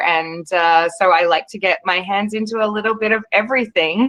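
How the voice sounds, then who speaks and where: A woman with an Australian accent and fairly even intonation. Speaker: wine expert and panel moderator. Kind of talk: webinar panel discussion. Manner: hesitant, many fillers.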